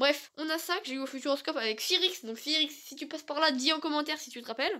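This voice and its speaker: A raised, projected voice delivers the words at a very fast pace. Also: woman. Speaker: gaming YouTuber. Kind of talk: casual setup tour vlog.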